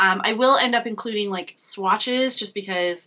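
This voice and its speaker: Her tone is bright and sharp. The woman's intonation is lively. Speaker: beauty vlogger. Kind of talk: casual makeup review. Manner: halting, many fillers.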